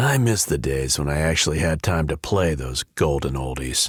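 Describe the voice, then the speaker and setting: In a put-on, raspy character voice, the speaker goes at a moderate pace with ordinary pitch variation. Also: man, very deep, low pitch for a man. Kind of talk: hard-boiled voice-over. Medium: video game. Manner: dry, sardonic.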